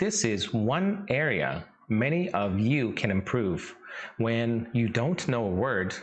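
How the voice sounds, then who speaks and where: Very wide pitch swings at a very slow pace, with very even loudness and audible room echo. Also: man, medium pitch for a man. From Saskatchewan, Canada (Vietnamese-born). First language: Vietnamese. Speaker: English teacher. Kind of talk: tutorial.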